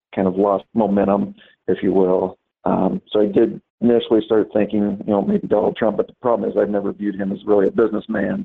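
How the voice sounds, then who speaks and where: A man speaks in an American accent at a fairly quick pace. His pitch is fairly low and his intonation fairly even. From US Midwest. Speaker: businessman, interviewee. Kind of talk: interview testimony. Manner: halting, many fillers.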